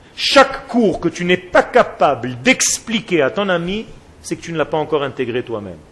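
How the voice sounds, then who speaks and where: This male voice sits high in pitch. It swings very widely up and down. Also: long, frequent pauses, big swings in loudness. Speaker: rabbi teaching a Torah class. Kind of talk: lecture. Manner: slow, soft, with deliberate pauses; repetitive, spiraling delivery.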